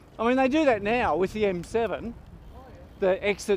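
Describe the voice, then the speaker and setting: A man talks at a moderate pace against light background noise. The sound is dry, with no echo. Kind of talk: casual chat while riding. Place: bicycle. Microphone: helmet.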